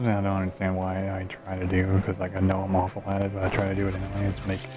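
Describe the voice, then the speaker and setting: A man talks in a very deep, low pitch with monotone, flat intonation. Noticeable background noise runs underneath. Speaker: gaming streamer. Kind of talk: gameplay commentary. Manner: hesitant, many fillers.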